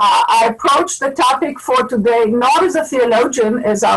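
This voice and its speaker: Noticeable background noise behind a woman with an Israeli accent, high in pitch, at a moderate pace with ordinary pitch variation. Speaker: scholar of religion and ecology. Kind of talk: webinar panel talk.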